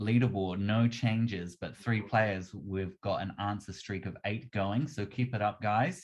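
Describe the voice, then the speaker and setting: Music plays in the background as the speaker talks in a New Zealand accent. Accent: Kiwi. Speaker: quiz host. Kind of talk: live quiz hosting.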